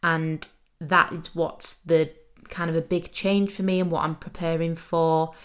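A woman with an English accent speaks at a fairly slow pace. Her fairly low voice stays monotone, with flat intonation. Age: 20s. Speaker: podcast host. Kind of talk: casual monologue.

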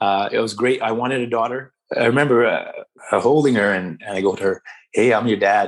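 A man with a Canadian accent uses a normal speaking voice at medium pitch, a fairly quick pace and fairly even intonation. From Canada, small-town British Columbia. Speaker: hockey community organizer. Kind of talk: interview.

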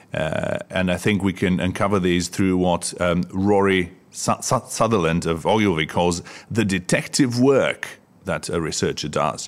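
With a Bulgarian accent, a man speaks in a very deep, low pitch. His pace is fairly slow, with ordinary pitch variation. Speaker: podcast co-host, research agency founder. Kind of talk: casual chat. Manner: frequent fillers and hesitations.

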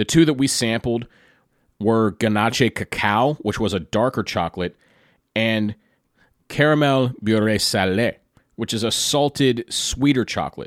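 A man's medium-pitched voice with a Pennsylvania accent, long, frequent pauses and a dry, close sound with no echo in a very clean recording with a silent background. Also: ordinary pitch variation. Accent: American (Pennsylvania). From US, Pennsylvania (near Hershey). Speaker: podcast host. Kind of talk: solo storytelling podcast.

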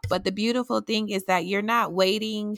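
Over a silent background on a very clean recording, a woman with a normal speaking voice talks at medium pitch with fairly even intonation, the sound dry and close with no echo. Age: 30s. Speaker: podcast host. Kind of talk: casual inspirational monologue.

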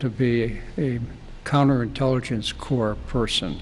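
A man speaks at a fairly slow pace with fairly even intonation. Background noise is noticeable. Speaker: retired steel company chairman. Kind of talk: oral history storytelling. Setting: studio.

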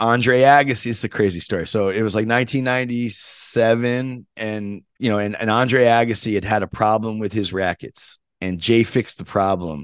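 A man speaks at a moderate pace in an ordinary speaking voice, medium in pitch, with fairly even intonation and hardly any pauses. The background is quiet. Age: 50s. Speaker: tennis podcast host. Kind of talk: casual interview storytelling.

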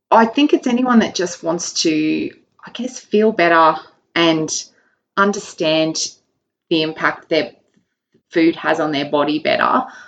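In an Australian accent, a woman speaks at a fairly slow pace and a fairly low pitch with lively intonation and long, frequent pauses. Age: 40s. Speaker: nutrition client and marathon runner. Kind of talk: casual interview. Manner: hesitant, many fillers.

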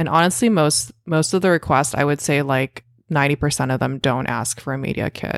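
Her voice very deep and low with vocal fry, a woman talks at a fairly quick pace with ordinary pitch variation, the sound dry and close with no echo. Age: 30s. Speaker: food blogger and software engineer. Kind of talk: casual interview chat.

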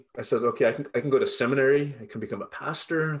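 Speech rushes by very fast, its intonation lively. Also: man. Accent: Californian. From Southern California, Los Angeles area. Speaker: pastor and professor. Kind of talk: interview conversation.

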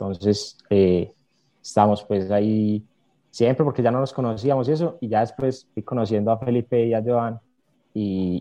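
The man's dark, mellow voice sits at a fairly low pitch, with ordinary pitch variation. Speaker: accounting student, social media creator. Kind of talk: casual interview chat.

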